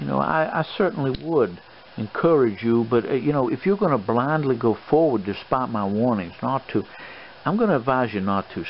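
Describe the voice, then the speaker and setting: Over noticeable background noise, a man with an American accent talks at a moderate pace, his medium pitch carrying lively intonation. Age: old. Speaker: adventurer, treasure hunter, swashbuckler. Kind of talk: ASMR role play, fatherly advice. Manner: soft-spoken, avuncular, rambling.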